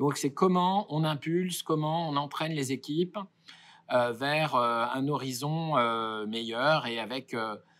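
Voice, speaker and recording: A man's fairly high voice with ordinary pitch variation, at a fairly slow pace, on a very clean recording with a silent background. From Paris suburbs, France. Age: 40s. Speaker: company director. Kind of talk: interview. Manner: hesitant, many fillers.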